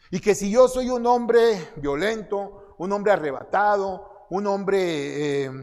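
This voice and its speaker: A high-pitched male voice with a Mexican accent. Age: 60s. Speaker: conference speaker. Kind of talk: sermon.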